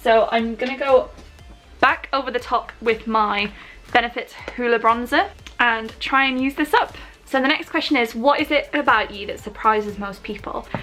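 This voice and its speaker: A woman speaks at a moderate pace with a high pitch. Noticeable background noise is present. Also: ordinary pitch variation. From Newcastle, northeast England. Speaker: beauty vlogger. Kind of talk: makeup tutorial and Q&A. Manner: casual, chatty.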